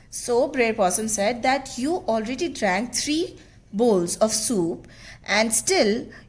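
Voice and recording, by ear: Lively intonation in a natural voice reading aloud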